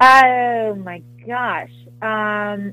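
Background music is audible. Over it, a woman talks with ordinary pitch variation. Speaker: actress. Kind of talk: casual interview.

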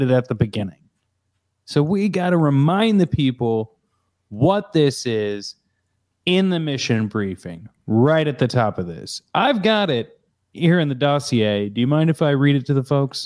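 In a very clean recording with a silent background, a man talks with very wide pitch swings. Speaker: podcast host. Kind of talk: casual chat. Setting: home office.

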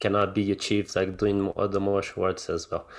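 Speaking at a fairly quick pace, a man talks with a Portuguese accent. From Brazil, Rio de Janeiro. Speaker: ophthalmologist and martial arts coach. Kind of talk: interview. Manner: halting, many fillers and repetitions.

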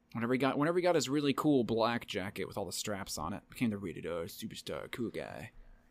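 A man with an American accent talking at a very fast pace, hardly any pauses and lively intonation, on a very clean recording with a silent background. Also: medium pitch for a man. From Tennessee. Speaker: podcast co-host. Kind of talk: casual chat.

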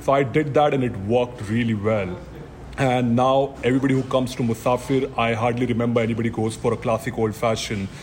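Over noticeable background noise, a man talks very fast at a medium pitch, keeping his loudness very even. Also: fairly even intonation. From India. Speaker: bar manager. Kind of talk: casual interview.

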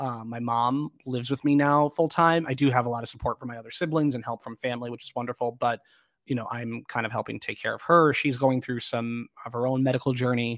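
Very fast delivery with fairly even intonation and big swings in loudness, in a dry, close sound with no echo. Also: man, medium pitch for a man, very clean recording, silent background. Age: 30s. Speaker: actor and arts festival director. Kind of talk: interview.

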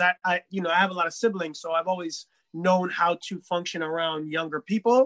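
With a New York accent, a man talks in a high pitch and a bright, sharp tone, his intonation fairly even, in a dry, close sound with no echo. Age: 30s. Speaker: DJ and musician. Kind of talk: casual chat.

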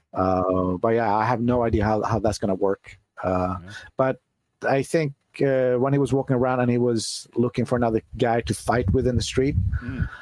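A normal speaking voice from a man, medium in pitch with ordinary pitch variation and a dry, close sound with no echo. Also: moderate pace. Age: 40s. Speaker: music producer. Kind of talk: casual chat.

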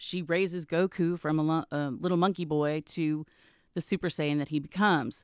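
Dry and close with no echo, this very clean recording with a silent background carries an American accent and fairly even intonation. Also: woman, very deep, low pitch for a woman, moderate pace. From Texas, Garland (Dallas area). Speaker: voice actress. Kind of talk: casual interview. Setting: in-person at a trade school.

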